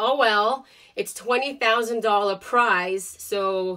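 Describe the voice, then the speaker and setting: With a slight Russian accent, a woman speaks with ordinary pitch variation. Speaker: vlogger. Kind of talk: casual chat. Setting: home basement studio. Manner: animated.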